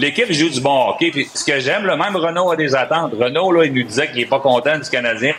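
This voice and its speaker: A man rattles along at a very fast pace, his pitch varying in an ordinary way, while noticeable noise sounds in the background. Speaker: hockey analyst. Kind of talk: sports talk.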